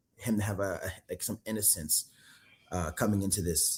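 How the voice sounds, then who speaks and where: A man's somewhat breathy, fairly low-pitched voice with ordinary pitch variation. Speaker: actor. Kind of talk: casual interview. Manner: halting, many fillers.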